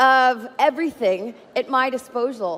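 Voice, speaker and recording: A woman speaks loudly with an animated tone. Her intonation is lively. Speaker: data scientist. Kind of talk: conference keynote talk. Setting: stage with audience.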